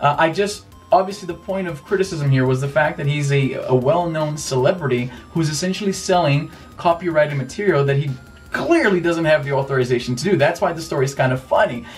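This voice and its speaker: Music plays behind a man with a fairly high voice. He talks very fast, with ordinary pitch variation. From Brazil. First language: Portuguese. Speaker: YouTuber, tech and retro gaming commentator. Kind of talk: casual vlog commentary.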